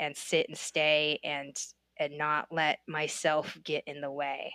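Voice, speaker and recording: In a dry, close sound with no echo and a very clean recording with a silent background, a woman with an American accent speaks at a fairly slow pace and a very deep, low pitch. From United States. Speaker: comedian and travel agent. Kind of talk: casual chat.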